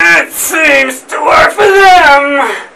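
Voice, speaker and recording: In a put-on character voice, the speaker sounds raspy and high-pitched. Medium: audio drama. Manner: defiant.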